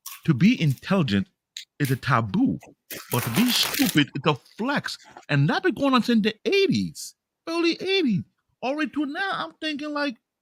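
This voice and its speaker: Using an African accent, a man speaks at a moderate pace with long, frequent pauses, an extremely high pitch and very wide pitch swings, recorded dry and close with no echo. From Africa, immigrated to US as child. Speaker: podcast host. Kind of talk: casual chat.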